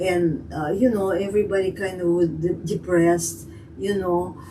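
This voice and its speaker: A woman talks at a fairly slow pace in a Russian accent. Noticeable background noise runs under her voice. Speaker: immigrant telling life story. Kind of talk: interview. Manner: halting.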